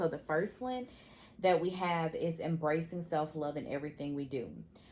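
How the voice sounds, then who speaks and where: Speaking at a moderate pace, a woman uses a normal speaking voice, fairly low in pitch with ordinary variation. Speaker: podcast co-host. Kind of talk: casual chat.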